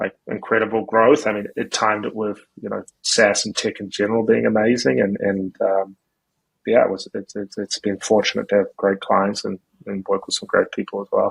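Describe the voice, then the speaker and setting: Dry, close sound with no echo, a man at a moderate pace. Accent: New Zealand. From New Zealand. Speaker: marketing agency founder. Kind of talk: podcast interview. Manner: casual, many fillers and repetitions.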